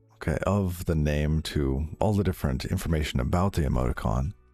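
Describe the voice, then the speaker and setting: A man's very deep, low voice at a moderate pace, with ordinary pitch variation and music in the background. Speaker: live-coding streamer. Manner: casual, conversational.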